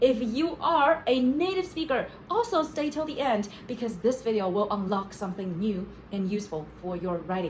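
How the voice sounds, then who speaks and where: Against noticeable background noise, a woman with a Chinese accent speaks at a fairly high pitch, her voice swinging very widely up and down. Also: moderate pace. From China. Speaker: playwright, screenwriter and essayist. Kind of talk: casual talk to camera.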